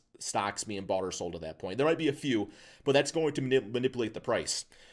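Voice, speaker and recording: A man speaks at a medium pitch and a very fast pace. His tone is animated, with ordinary pitch variation. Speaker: YouTuber explaining stocks. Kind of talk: casual explainer monologue.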